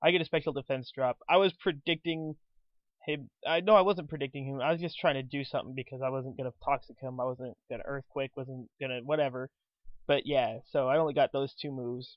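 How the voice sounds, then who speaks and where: A man with a fairly high pitch talks at a fairly quick pace. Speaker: gaming commentator. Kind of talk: live game commentary. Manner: fast; animated.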